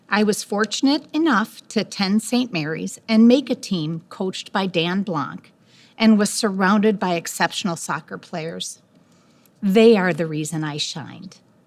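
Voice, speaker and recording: This woman has a medium pitch and an American accent, speaking at a moderate pace. Her intonation is lively, and the recording is very clean with a silent background. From US Midwest, Park Ridge. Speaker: hall of fame inductee, former soccer player. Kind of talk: acceptance speech.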